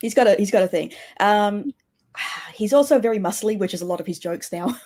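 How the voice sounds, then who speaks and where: Speaking very fast with a New Zealand accent, a woman uses a medium pitch, ordinary pitch variation, and a dark, mellow tone. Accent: sounds Kiwi, milder than broad Australian. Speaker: podcast guest. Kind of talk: casual chat.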